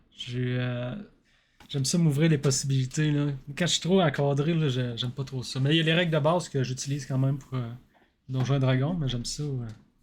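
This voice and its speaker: A man with a Quebec accent speaks at a moderate pace and a fairly high pitch. His voice is somewhat breathy, with ordinary pitch variation. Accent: Québécois French. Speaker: podcast host. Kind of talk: podcast interview.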